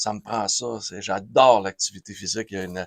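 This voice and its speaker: At a fairly quick pace, a man with a fairly low pitch speaks on a very clean recording with a silent background, dry and close with no echo. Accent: Quebec. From Quebec, Saguenay-Lac-Saint-Jean. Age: 60s. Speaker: radio host. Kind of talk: interview. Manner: animated.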